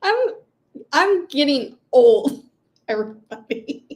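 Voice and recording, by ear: A woman's very slow, high-pitched voice with big pitch swings and a slightly mellow tone.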